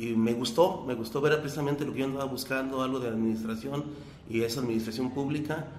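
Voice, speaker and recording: Talking at a very fast pace, a man with a medium-pitched voice and fairly even intonation is heard amid noticeable background noise and audible room echo. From Jalisco, Mexico (Teocaltiche area). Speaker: mayoral candidate. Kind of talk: interview. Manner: halting.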